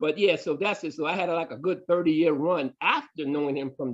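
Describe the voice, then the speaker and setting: An animated male voice with an American accent at a fairly quick pace, over a quiet background. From New York City (Brooklyn). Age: 60s. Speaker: martial arts grandmaster. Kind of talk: interview storytelling.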